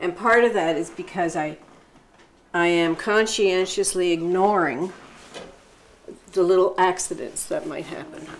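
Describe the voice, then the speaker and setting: A woman speaks at a fairly slow pace with long, frequent pauses. Noticeable background noise is present. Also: medium pitch for a woman, ordinary pitch variation. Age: 70s. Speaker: artist, sculptor and printmaker. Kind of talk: documentary interview answer.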